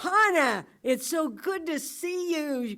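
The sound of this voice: In a put-on character voice, a woman speaks in a raised, projected voice at a high pitch. Her pace is very slow and her intonation is lively.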